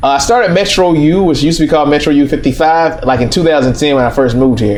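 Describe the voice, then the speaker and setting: With an American accent, a man talks very fast at a fairly high pitch, with music in the background and audible room echo. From US South, East Atlanta, Georgia. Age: 30s. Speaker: restaurant owner and entrepreneur. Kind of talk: interview. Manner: casual, with filler words.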